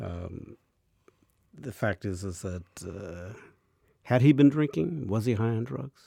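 In a dry, close recording with no echo, a man with a dark, mellow tone speaks at a fairly slow pace, his lively intonation broken by long, frequent pauses. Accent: American. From Mexican American. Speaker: TV interview host. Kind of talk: interview.

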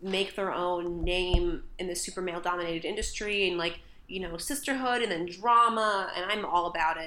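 A woman with an American accent and a plain, everyday voice speaks at a medium pitch and a moderate pace, with ordinary pitch variation. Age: 20s. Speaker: podcast co-host. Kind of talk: casual chat.

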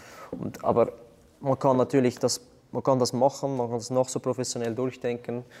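A man speaks at a moderate pace in a medium pitch, his dark, mellow tone held in a monotone, flat intonation. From Switzerland, Zurich Unterland. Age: 20s. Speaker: CrossFit athlete and athletic coach. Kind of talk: interview.

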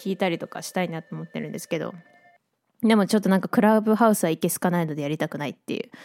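A woman with vocal fry at a very fast pace, ordinary pitch variation, big swings in loudness, and a dry, close sound with no echo. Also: fairly low pitch for a woman. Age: 20s. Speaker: illustrator and track maker, podcast host. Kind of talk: casual solo radio talk. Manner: casual, chatty.

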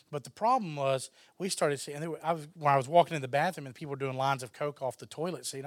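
Speaking very fast with hardly any pauses, a man in a Texan accent uses a fairly high pitch and big swings in loudness on a very clean recording with a silent background. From Texas. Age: 30s. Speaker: filmmaker. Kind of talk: interview.

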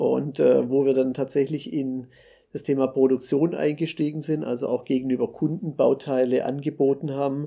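A man speaks at a moderate pace in a medium pitch, his dark, mellow tone held in a flat monotone. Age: 40s. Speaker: startup founder and engineer. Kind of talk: interview. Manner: hesitant, with frequent fillers.

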